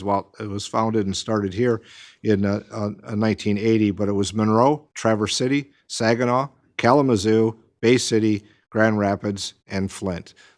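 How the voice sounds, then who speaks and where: A man talks at a fairly low pitch with fairly even intonation. The recording is very clean, with a silent background. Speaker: mayor chairing city council meeting. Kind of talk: council meeting remarks. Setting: city council chamber. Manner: loud; halting, many fillers.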